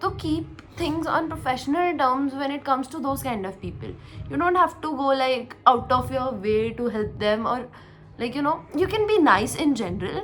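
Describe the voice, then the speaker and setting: With music in the background, the voice moves at a moderate pace through very wide pitch swings. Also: woman, high pitch for a woman. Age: 20s. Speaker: tech podcast co-host. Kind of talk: casual podcast conversation.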